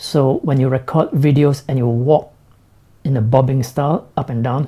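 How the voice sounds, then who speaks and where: A man at medium pitch has a dark, mellow tone. His voice is somewhat breathy, and his intonation stays fairly even. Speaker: tech vlogger. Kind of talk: live stream product review. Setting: live stream. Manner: slow.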